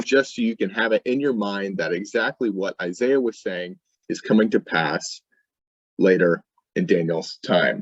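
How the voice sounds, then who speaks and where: This man has an ordinary speaking voice and a moderate pace. The sound is dry and close, without echo. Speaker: youth ministry teacher. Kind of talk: bible teaching.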